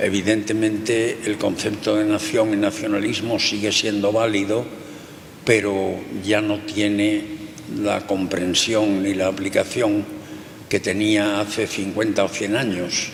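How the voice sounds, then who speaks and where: A man's fairly low, monotone, flat voice at a fairly slow pace, with very even loudness and noticeable background noise. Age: 80s+. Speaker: sociologist. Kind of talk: interview.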